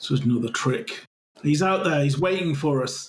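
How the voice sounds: A man puts on a raspy, guttural character voice, pitched fairly high. He speaks at a moderate pace.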